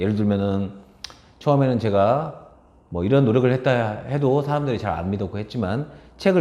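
A man speaks at a medium pitch with a dark, mellow tone and very wide pitch swings. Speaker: speech coach and author. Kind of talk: casual talk to camera.

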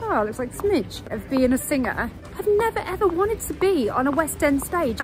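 The speech moves at a moderate pace. The sound is dry with no echo, and faint music plays in the background. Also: woman. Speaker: travel vlogger. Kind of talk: casual vlog chat. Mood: cheerful, laughing. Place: street.

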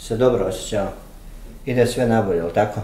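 Audible room echo hangs around a man as he talks. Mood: encouraging, gentle.

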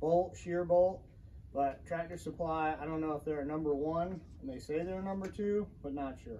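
Over light background noise, a man with a dark, mellow tone speaks at a moderate pace with fairly even intonation. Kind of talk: casual vlog chat. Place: garage. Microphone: camera far.

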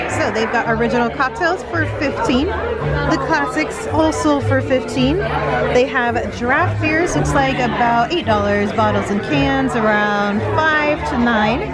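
Loud music plays behind a woman speaking, and the sound is dry with no echo. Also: fairly slow pace. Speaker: travel vlogger. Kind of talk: casual vlog chat. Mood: upbeat, enthusiastic. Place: bar. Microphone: handheld.

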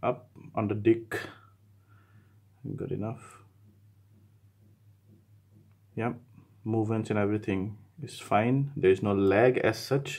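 A man's somewhat breathy voice, fairly slow and fairly even in intonation, with long, frequent pauses. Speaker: tech reviewer. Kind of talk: gameplay commentary. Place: studio.

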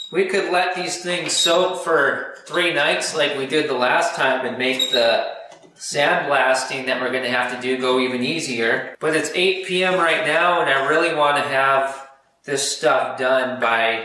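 Speaking at a fairly slow pace with ordinary pitch variation, a man is heard with audible room echo. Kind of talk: casual workshop vlog commentary. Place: garage. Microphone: camera far.

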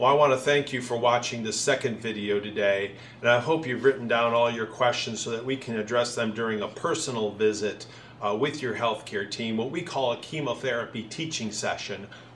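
A man at a fairly quick pace with fairly even intonation, over light background noise. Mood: calm, reassuring.

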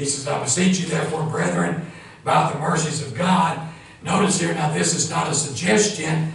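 In an audible room echo, a man with an American accent talks at a moderate pace with fairly even intonation. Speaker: pastor. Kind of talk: sermon. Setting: church. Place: church. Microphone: camera far.

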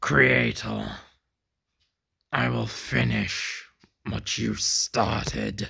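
In a put-on character voice, a man growls at a very deep, low pitch, speaking at a very slow pace with lively intonation and long, frequent pauses. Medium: audio drama. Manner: menacing.

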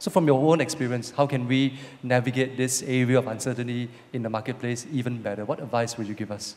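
Delivering his words at a very fast pace, a man keeps his intonation fairly even. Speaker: church host. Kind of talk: church service talk. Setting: church. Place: stage. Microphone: handheld.

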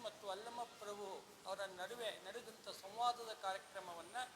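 A man's voice with fairly even intonation over noticeable background noise. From Solapur district, Maharashtra-Karnataka border (Akkalkot). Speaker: retired chemistry lecturer, event organizer. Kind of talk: event announcement interview.

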